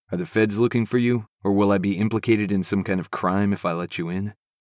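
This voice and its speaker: In a put-on character voice, a man rattles along at a very fast pace with fairly low pitch and fairly even intonation, on a very clean recording with a silent background and a dry, close sound with no echo. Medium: read story. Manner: blunt, clipped.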